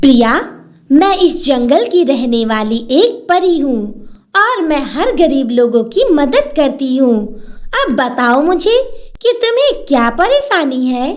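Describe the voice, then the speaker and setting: A female-sounding voice performs a cartoonish character voice at a high pitch. The pace is fairly slow. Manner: gentle, warm.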